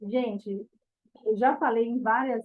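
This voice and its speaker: A woman speaks at a fairly slow pace with a fairly high voice. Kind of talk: bible study talk. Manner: animated.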